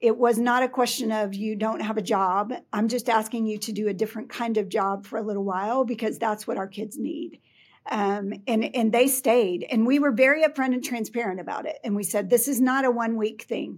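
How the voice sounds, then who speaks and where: An ordinary speaking voice with an American accent, fairly quick with hardly any pauses and ordinary pitch variation, on a very clean recording with a silent background. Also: woman, fairly high pitch for a woman. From Texas, Houston area (Pasadena). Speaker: school district administrator. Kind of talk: interview.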